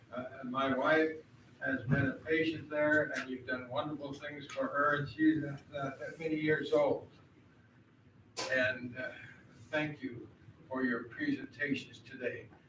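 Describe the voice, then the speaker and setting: Amid noticeable background noise and audible room echo, a man with a fairly high voice speaks in a monotone, flat intonation at a fairly slow pace with long, frequent pauses. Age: 80s+. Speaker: board chair. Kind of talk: meeting chairing.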